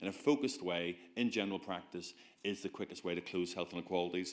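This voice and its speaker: A man with a Belfast accent talks at a fairly quick pace. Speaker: GP giving a conference talk. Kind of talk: conference presentation. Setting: stage with audience. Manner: animated.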